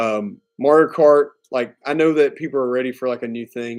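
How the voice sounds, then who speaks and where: A man in a Southern US accent, his intonation fairly even. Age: 30s. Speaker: gaming streamer. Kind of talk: casual live stream chat. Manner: casual, filler-heavy.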